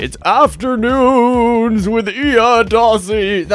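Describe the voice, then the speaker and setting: A put-on character voice comes out fairly high in pitch and theatrical in tone. Every word is drawn out at a very slow pace. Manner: loud, theatrical announcing.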